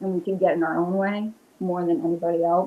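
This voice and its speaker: A woman of medium pitch speaks with a strong Rhode Island accent. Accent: strong Rhode Island, New England. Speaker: witch and paranormal investigator. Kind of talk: casual interview chat.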